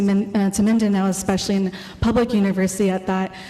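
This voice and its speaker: With an American accent, a woman talks while noticeable background noise fills the recording. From California, US (Filipino parents). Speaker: artist and exhibition co-curator. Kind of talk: artist talk presentation. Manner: fast when nervous; hesitant, many fillers.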